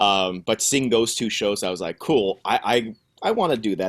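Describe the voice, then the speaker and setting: A fairly quick delivery with ordinary pitch variation, in a dry, close recording with no echo and a very clean, silent background. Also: man. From Canada, Ottawa. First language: French. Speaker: musical theater actor. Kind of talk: interview. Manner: halting.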